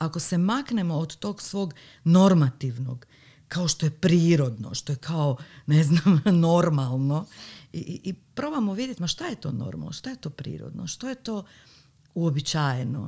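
The voice is somewhat breathy, with a dark, mellow tone. It moves at a fairly slow pace through very wide pitch swings. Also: woman, fairly low pitch for a woman. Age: 40s. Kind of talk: casual chat.

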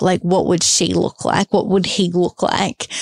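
In a dry, close recording with no echo, a woman speaks at medium pitch with an Australian accent. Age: 30s. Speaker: podcast host. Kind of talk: solo podcast monologue.

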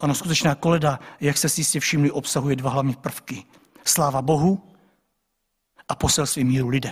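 Somewhat breathy and fairly high-pitched, a man talks at a fairly quick pace broken by long, frequent pauses. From Czech village. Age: 40s. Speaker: pastor. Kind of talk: sermon.

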